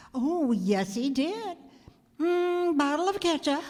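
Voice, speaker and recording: This put-on character voice moves fairly slowly, its pitch swinging very widely. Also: woman, high pitch for a woman. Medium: stage play. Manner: terse, hesitant.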